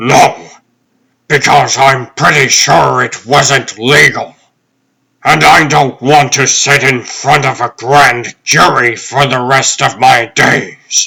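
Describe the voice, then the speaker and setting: Using a put-on character voice, a man speaks at a very slow pace in a raspy, medium-pitched tone with fairly even intonation. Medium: fan dub. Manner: brisk, authoritative.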